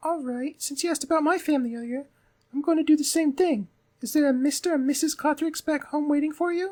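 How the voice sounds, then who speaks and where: A man does a put-on character voice at an extremely high pitch. He talks at a very fast pace. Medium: game stream. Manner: polite, curious, warm.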